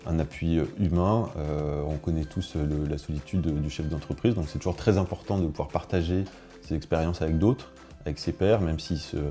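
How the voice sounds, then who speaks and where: With music in the background, a man with a very deep, low pitch speaks at a moderate pace in fairly even intonation. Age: 30s. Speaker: business owner. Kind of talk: testimony. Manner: halting, many hesitations.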